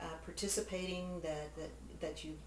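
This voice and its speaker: A woman talks amid light background noise, her voice carrying audible room echo. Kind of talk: interview answer. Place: home room. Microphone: camera far.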